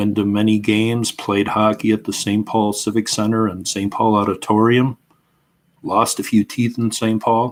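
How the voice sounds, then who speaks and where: With a Minnesotan accent, a man speaks at a moderate pace and fairly low pitch. His intonation is monotone and flat, on a very clean recording with a silent background. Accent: Minnesota. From Minnesota, US. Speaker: history YouTuber. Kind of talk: casual livestream chat. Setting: at home, live stream.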